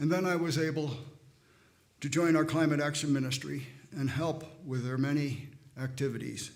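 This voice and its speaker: The pace is moderate, broken by long, frequent pauses. Audible room echo surrounds the voice. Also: man, fairly high pitch for a man, fairly even intonation. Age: 80s+. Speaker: church member speaking at service. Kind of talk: testimony. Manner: halting.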